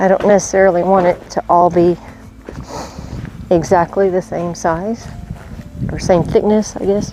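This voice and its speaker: A woman talks at a moderate pace with a monotone, flat intonation. She takes long, frequent pauses, and there is noticeable background noise. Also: medium pitch for a woman. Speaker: homesteader and sawmill operator. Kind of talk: casual vlog tutorial.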